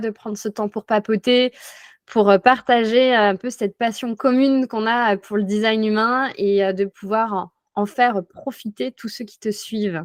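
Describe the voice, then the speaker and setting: In a dry, close recording with no echo and a quiet background, a woman speaks at a fairly slow pace with a fairly high pitch and fairly even intonation. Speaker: life coach, former notary. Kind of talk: interview testimony. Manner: hesitant, many fillers.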